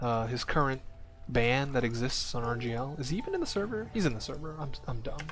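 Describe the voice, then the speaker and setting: Amid music in the background and audible room echo, a man talks very fast. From Hong Kong. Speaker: esports caster. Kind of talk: live commentary. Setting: livestream. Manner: casual.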